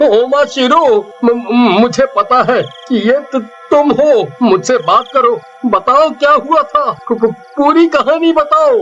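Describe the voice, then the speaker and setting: At a fairly slow pace, the speaker uses a put-on character voice over clear background noise. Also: man, extremely high pitch for a man. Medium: read story. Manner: stammering, fearful.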